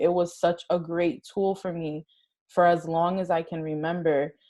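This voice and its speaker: At a moderate pace, a woman speaks with a dark, mellow tone in a fairly low voice, keeping her intonation fairly even. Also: quiet background. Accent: Spanish. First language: Spanish. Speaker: interview guest. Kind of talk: casual interview.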